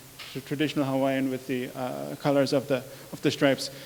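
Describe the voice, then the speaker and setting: In a German accent, a man speaks at a fairly quick pace with a fairly high pitch and a monotone, flat intonation. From Germany. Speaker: researcher. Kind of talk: lecture. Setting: public talk with projector. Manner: halting, many fillers.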